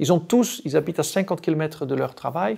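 Against a quiet background, a man with a Dutch accent talks at a fairly slow pace in a high pitch, with lively intonation. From Netherlands, rural village. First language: Dutch (speaking French). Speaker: diplomatic attaché and cycling advocate; cycling advocacy spokesperson, guest. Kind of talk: interview. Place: studio. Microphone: lapel.

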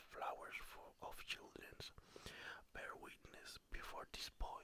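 The words come out in a whisper. The pace is very slow. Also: man. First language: not English (non-native reader). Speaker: ASMR creator. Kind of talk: ASMR story reading. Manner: soft-spoken, slow. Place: home room. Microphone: studio mic.

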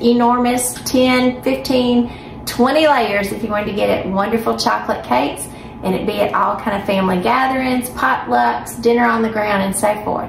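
A woman talks at a moderate pace with hardly any pauses, her voice carrying audible room echo over light background noise. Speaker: home cooking host. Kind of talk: casual cooking intro. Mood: warm and cheerful. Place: kitchen. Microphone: phone near.

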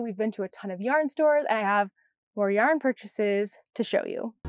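Loud and with lively intonation, a woman talks in an American accent, the sound dry with no echo. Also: quiet background. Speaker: knitting podcast host. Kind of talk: casual podcast monologue; casual vlog chat. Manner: fast. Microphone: lapel.

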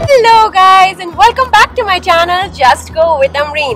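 A woman is talking, and faint music can be heard in the background. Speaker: travel vlogger. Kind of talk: casual vlog chat. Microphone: phone near.

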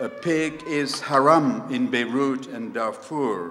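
Lively intonation carries a very slow delivery over light background noise. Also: man. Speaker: poet performing. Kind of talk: poem performed live with music. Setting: stage with audience. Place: stage. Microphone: handheld.

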